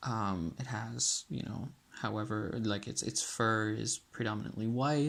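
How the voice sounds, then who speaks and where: This soft-spoken voice moves at a fairly slow pace with ordinary pitch variation. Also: man. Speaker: student. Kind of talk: app prototype demonstration. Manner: soft-spoken, ASMR-like.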